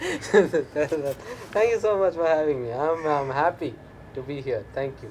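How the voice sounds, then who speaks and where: A man with a fairly high pitch talks at a very slow pace, his intonation lively and his loudness swinging widely, amid noticeable background noise. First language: not English. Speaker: stand-up comedian. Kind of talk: interview. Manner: halting, many fillers.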